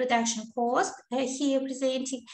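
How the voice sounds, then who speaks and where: With a high pitch and fairly even intonation, a woman talks at a fairly slow pace amid audible room echo. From Kazakhstan. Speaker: associate professor. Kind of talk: conference presentation. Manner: halting, many fillers.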